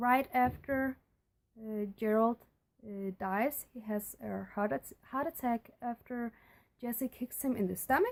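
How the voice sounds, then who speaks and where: Speaking with a non-native accent, a woman uses a high pitch and ordinary pitch variation. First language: not English. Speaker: book and movie reviewer. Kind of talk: casual video review. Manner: halting, many fillers. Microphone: poor recording quality.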